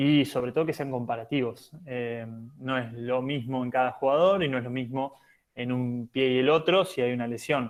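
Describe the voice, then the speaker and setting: A medium-pitched man at a moderate pace with fairly even intonation. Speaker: physiotherapist for national handball teams. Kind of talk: lecture. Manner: hesitant, many fillers.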